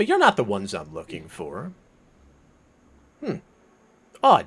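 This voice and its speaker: At a moderate pace, the man delivers his lines in a put-on character voice. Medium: actual play. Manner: impatient, distracted.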